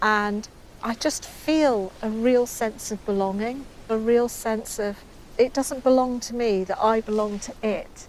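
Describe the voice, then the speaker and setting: A woman with an English accent speaks fairly slowly at a fairly high pitch, her intonation fairly even. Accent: English accent like the presenter's. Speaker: artist. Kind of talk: casual interview.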